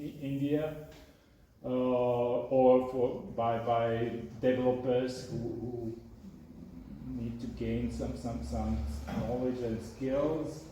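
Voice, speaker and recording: This man has a non-native accent and a medium pitch, with fairly even intonation. He speaks at a very slow pace, and audible room echo can be heard. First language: not English. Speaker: software developer and author. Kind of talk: talk and Q&A at a meetup. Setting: meetup with live audience. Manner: halting, many fillers and repetitions.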